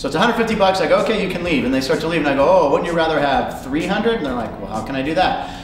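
With clear music in the background and audible room echo, a man talks at a very fast pace. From Pittsburgh. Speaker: comedian and game show host. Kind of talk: interview answer. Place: studio.

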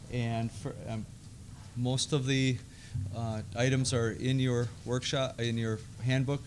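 A man talks at a fairly slow pace with long, frequent pauses. His intonation is monotone and flat, over light background noise. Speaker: event emcee. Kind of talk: event moderation. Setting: conference room with audience. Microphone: podium.

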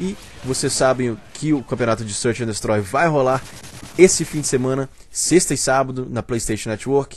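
Amid noticeable background noise, a man speaks at medium pitch and a moderate pace with ordinary pitch variation. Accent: Brazilian. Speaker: gaming channel host. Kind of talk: casual video commentary. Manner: informal, many filler sounds.

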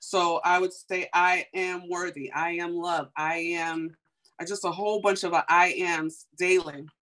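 Speaking in an American accent, a woman uses a fairly low pitch and a bright, sharp tone. Her intonation is monotone and flat, her pace fairly slow, and the background quiet. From US Midwest, Chicago. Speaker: beauty entrepreneur; guest. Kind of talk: testimony. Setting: video call. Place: home room. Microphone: video call.

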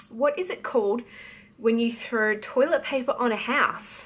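Light background noise sits behind the clip. A woman talks at a fairly slow pace. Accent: Australian. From Australia. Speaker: novelist. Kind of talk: casual talk to camera. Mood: light, playful. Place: home room. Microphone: phone near.

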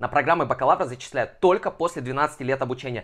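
Over a quiet background, a man talks very fast in an animated tone with a fairly high pitch. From Kazakhstan, Almaty. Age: 20s. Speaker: education blogger; education advice vlogger. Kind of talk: informational vlog. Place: home room. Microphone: lapel.

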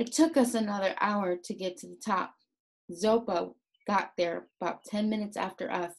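Quiet background, ordinary pitch variation, and an unforced reading voice.

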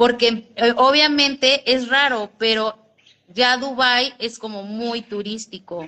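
With a high pitch, a woman speaks at a very slow pace. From Mexico. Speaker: vlogger. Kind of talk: casual livestream chat. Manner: animated. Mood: chatty, amused storytelling. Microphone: phone near.

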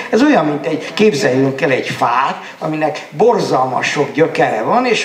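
With audible room echo and light background noise, a man talks at a moderate pace in a fairly high voice. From Pápa, Hungary; Hungary. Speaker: novelist; panelist. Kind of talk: panel discussion; panel discussion answer. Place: hall. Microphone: handheld.

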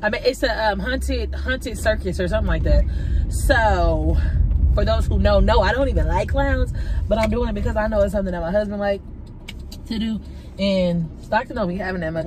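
Speech moves at a fairly quick pace. The sound is dry with no echo, and background noise is noticeable. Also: woman. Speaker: vlogger. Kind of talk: casual vlog chat. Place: car. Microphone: phone near.

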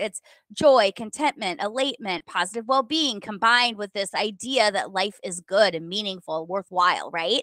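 Over a quiet background, a woman with an American accent talks at a moderate pace in a bright, sharp tone, her fairly high pitch rising and falling in lively intonation, the sound dry with no echo. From US Midwest, rural Minnesota. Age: 40s. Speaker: author, podcaster and former lawyer. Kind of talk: interview. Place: home room. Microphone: video call.

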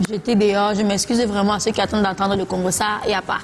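There is light background noise. A woman talks at a fairly high pitch. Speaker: singer; guest. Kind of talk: TV talk show interview. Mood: relaxed, candid. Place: studio.

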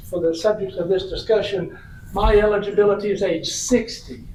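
With a Tennessee accent, a man speaks in a high pitch and monotone, flat intonation. Noticeable background noise and audible room echo are present. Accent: Southern US (Tennessee). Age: 60s. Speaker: retirement system representative, former state legislator. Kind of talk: public meeting presentation. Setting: city council meeting. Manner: conversational.

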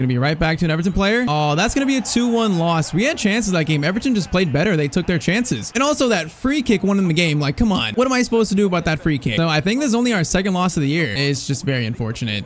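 A man talks fast at a high pitch, with big pitch swings and few pauses, over faint background noise.

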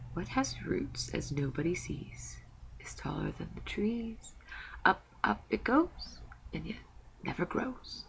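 Someone puts on a character voice at a fairly slow pace, pausing long and often, with hissing and clear background noise throughout. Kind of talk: riddling.

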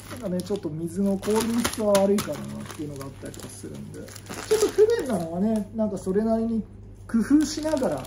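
A man's high voice, very fast, with big swings in loudness and noticeable background noise. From Japan. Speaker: YouTuber, Buddhist monk; vlogger. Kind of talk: casual vlog talk; casual vlog chat. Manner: rambling, filler-heavy. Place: home room. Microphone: phone near.

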